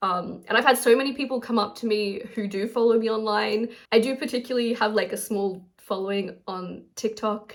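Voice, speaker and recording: Speaking with hardly any pauses, the voice carries an Australian accent and a fairly even intonation. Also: woman, fairly high pitch for a woman. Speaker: artist and crafter vlogger. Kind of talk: casual vlog talk to camera. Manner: fast.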